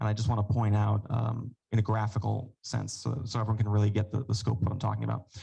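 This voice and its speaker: The delivery is fairly quick. The voice is somewhat breathy. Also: man. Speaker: epidemiologist presenting data. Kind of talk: presentation at council meeting. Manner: fast.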